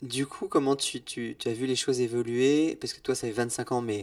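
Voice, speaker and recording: A man talks at a moderate pace with big swings in loudness. The recording is very clean, with a silent background. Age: 40s. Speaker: podcast host. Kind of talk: casual interview.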